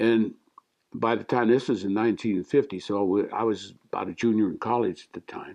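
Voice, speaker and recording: A man with an American accent speaks at a moderate pace. His fairly low voice has vocal fry. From Louisville, Colorado. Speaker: war veteran. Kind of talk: oral history interview. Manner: halting.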